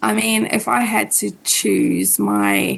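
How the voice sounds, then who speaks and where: A woman speaks with a South African accent. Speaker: podcast co-host and astrologer. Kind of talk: casual interview chat.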